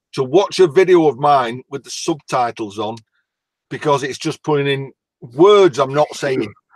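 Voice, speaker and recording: At a moderate pace, a man talks with a fairly high pitch and ordinary pitch variation, the sound dry and close with no echo. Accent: strong northern English. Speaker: YouTuber guest. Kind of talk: casual chat. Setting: video call livestream.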